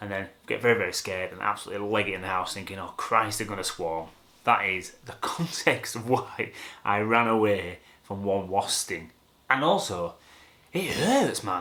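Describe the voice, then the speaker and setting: A man speaks with a Yorkshire accent at a fairly low pitch. His tone is bright and sharp, with ordinary pitch variation. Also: moderate pace. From Yorkshire, England. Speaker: photographer. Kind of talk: casual talk to camera.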